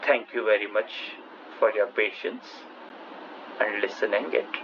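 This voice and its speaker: A man speaks over noticeable background noise. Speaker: math lecturer. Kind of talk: lecture.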